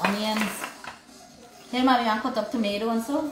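The speech races at a very fast pace through audible room echo and noticeable background noise. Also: woman. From Guyana. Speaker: cooking vlogger. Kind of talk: casual livestream chat while cooking. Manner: animated.

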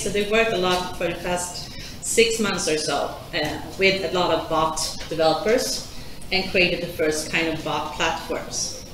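A woman speaks with noticeable background noise. The room echo is audible. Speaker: conference presenter. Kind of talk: presentation talk. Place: hall.

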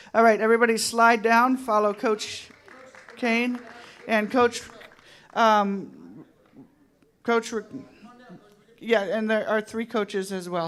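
Long, frequent pauses mark this very slow speech, heard over noticeable background noise. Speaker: school principal. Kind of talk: award ceremony, reading names.

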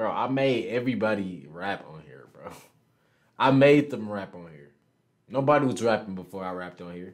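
A man with an American accent speaks at a moderate pace with fairly low pitch. His intonation is lively, and the background is quiet. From Houston, Texas. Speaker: online video chat streamer. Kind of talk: casual chat. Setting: video call. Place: home room.

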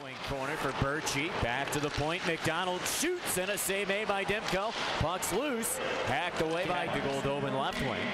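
Noticeable background noise sits behind a man speaking at a moderate pace. His pitch is high, and its variation is ordinary. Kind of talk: live commentary. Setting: broadcast over game footage.

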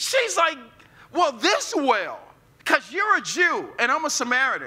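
A man's voice is raised and projected. He talks at a fairly slow pace. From US Midwest, North St. Louis; Missouri. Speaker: pastor. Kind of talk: sermon. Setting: church with live audience. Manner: animated. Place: church.

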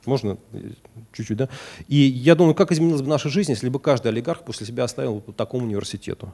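Against a quiet background, a man with a dark, mellow tone talks very fast with lively intonation, big swings in loudness and long, frequent pauses. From Russia. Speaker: economist, former deputy finance minister; guest lecturer. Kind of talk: lecture. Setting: university lecture hall with audience. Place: classroom.

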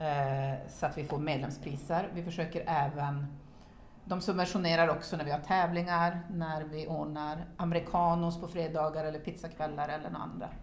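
With audible room echo and light background noise, a woman talks at a moderate pace in a very deep, low voice with monotone, flat intonation. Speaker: padel club chair; interviewee. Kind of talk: casual interview. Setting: locker room. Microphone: camera far.

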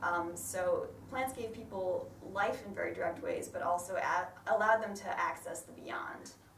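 A woman in a northern American accent speaks with big swings in loudness, with audible room echo and light background noise. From northern US. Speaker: botanist and ecologist. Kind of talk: lay sermon talk. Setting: church. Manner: fast talker.

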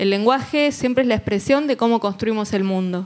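With ordinary pitch variation, a woman speaks at a medium pitch. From Argentina. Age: 40s. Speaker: journalist and legislative official; journalist. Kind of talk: panel discussion. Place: hall. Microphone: handheld.

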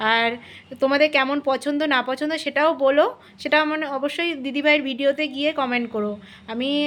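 Her voice sits at a high pitch, and this woman keeps a fairly even intonation. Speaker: vlogger. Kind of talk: casual vlog narration. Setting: outdoors and train travel.

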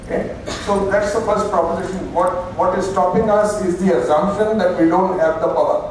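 Strong room echo and light background noise surround a man with a high pitch and an Indian accent who speaks at a moderate pace in a flat monotone. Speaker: keynote speaker and business consultant. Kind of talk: conference talk. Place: hall.

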